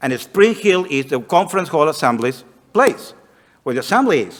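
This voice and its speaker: Fairly high-pitched, a man talks at a fairly slow pace with lively intonation. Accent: Spanish. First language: Spanish. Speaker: missionary. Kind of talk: missionary report to congregation.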